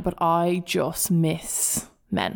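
A woman talks in an animated tone with a Dublin accent and a fairly low pitch. The recording is very clean, with a silent background. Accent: South Dublin Irish. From Dublin, Ireland. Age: 20s. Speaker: podcast host. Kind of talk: casual chat, solo monologue. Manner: animated, chatty.

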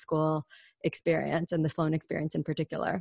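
A woman with a Mid-Atlantic accent, in a dry, close sound with no echo against a quiet background. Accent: American, Mid-Atlantic. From US, Washington DC area. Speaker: podcast co-host, business school graduate. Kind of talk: casual interview.

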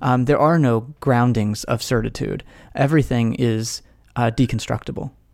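This man has an ordinary speaking voice, talking fairly quickly at a medium pitch with fairly even intonation. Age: 30s. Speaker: podcast host and author, former pastor and philosophy professor. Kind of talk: interview conversation. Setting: video call.

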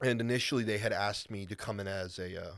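With a normal speaking voice, a man talks at a fairly quick pace and a fairly low pitch, with ordinary pitch variation, on a very clean recording with a silent background. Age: 20s. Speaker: strongman competitor. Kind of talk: casual chat.

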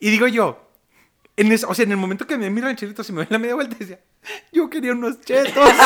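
A man's extremely high-pitched voice with a Mexican accent, very fast pace, and long, frequent pauses. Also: ordinary pitch variation. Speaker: podcast host. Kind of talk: casual chat.

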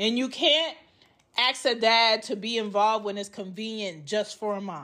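A woman's fairly high voice, bright and sharp in tone, moves at a moderate pace with ordinary pitch variation in a very clean recording with a silent background. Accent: American. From Georgia, US. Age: 30s. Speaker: podcast host, mother. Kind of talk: personal monologue. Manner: casual, conversational.

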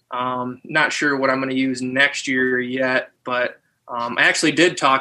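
Fairly slow and flat in intonation, a man speaks with a bright, sharp tone and a monotone delivery. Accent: American. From northern Michigan. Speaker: former football player and hunter. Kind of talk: casual interview chat.

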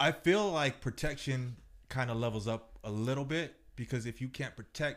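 On a very clean recording with a silent background, a man with an unremarkable speaking voice talks at medium pitch with lively intonation. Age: 30s. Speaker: mixed martial artist. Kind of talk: casual chat.

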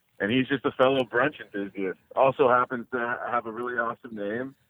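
Here is a man with an ordinary speaking voice at medium pitch. He speaks at a fairly quick pace with fairly even intonation. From New Jersey. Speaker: sports gambling podcast co-host. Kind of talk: interview. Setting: phone call.

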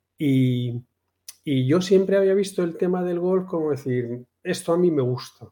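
The speaker is male. He has a dark, mellow tone. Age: 50s. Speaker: amateur golfer. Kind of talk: casual chat.

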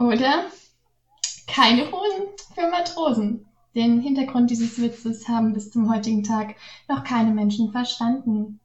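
Her intonation is lively and her voice fairly high. The woman talks at a fairly slow pace, with long, frequent pauses. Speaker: guest writer. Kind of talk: reading aloud.

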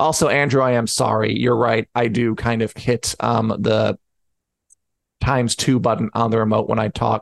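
A man's medium-pitched voice with vocal fry, fairly even intonation, very even loudness and a moderate pace. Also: quiet background. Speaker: podcast host. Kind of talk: casual chat. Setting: live online show.

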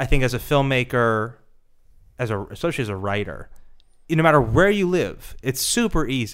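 At a moderate pace and medium pitch, a man speaks with long, frequent pauses. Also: lively intonation, very clean recording, silent background. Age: 30s. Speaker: film producer. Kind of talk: interview.

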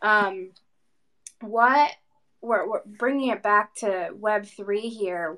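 A woman speaks. Her pitch sits in the medium range. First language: not English. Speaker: podcast co-host. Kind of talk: casual chat.

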